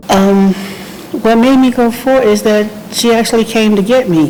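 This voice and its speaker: A woman with an American accent, lively intonation and a moderate pace, over noticeable background noise. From New Jersey. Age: 60s. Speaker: home care client. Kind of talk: testimonial interview. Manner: casual, with hesitations.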